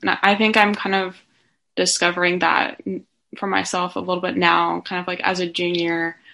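In a quiet background, a woman with a bright, sharp tone and medium pitch talks at a moderate pace in a monotone, flat intonation. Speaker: student podcast host. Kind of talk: interview. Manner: hesitant, many fillers.

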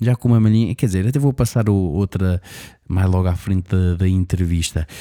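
A man with a European Portuguese accent speaks in a very deep, low, dark and mellow voice with ordinary pitch variation. The sound is dry and close with no echo, and the recording is very clean with a silent background. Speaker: radio show host. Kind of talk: casual interview and show hosting. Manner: animated.

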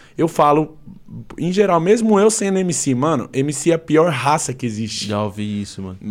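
This man speaks at a fairly high pitch. His pitch swings very widely. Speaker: MC / battle rapper. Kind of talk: casual chat.

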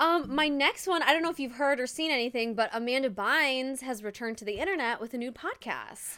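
A woman with an American accent speaks in a high, bright, sharp, raised and projected voice with ordinary pitch variation. She talks at a fairly quick pace with hardly any pauses. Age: 20s. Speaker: podcast host. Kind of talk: casual chat. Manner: casual, laughs often.

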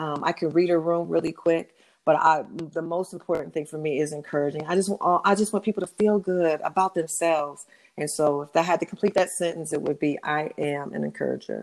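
Her fairly low-pitched voice moves at a fairly quick pace with fairly even intonation. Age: 50s. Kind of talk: casual interview.

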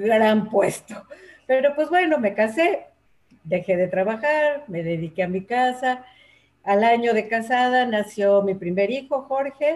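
Her fairly high voice moves at a very slow pace, and the woman's intonation is lively. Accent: Mexico City. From Mexico City. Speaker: teacher and workshop leader for older adults. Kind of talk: interview conversation. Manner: hesitant, many fillers.

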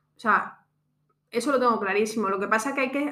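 This woman has a plain, everyday voice at a fairly high pitch. Her intonation stays fairly even. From Extremadura, Spain. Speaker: podcast host, entrepreneur. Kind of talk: casual chat.

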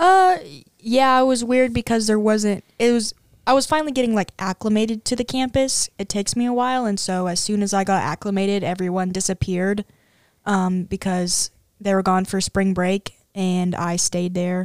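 In a very clean recording with a silent background and a dry, close sound with no echo, a woman with a plain, everyday voice talks at a moderate pace, medium in pitch with ordinary pitch variation. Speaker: college student. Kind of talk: casual chat. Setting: studio.

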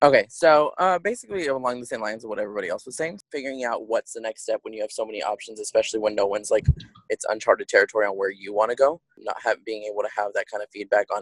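A man with an American accent talks at a very fast pace with hardly any pauses, his loudness swinging widely in a dry, close recording with no echo. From Texas. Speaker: navy sailor. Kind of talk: group discussion.

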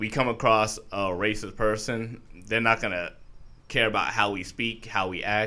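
A man talks at a fairly low pitch with an American accent. His tone is bright and sharp, and his intonation fairly even. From New York. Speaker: artist. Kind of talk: casual chat.

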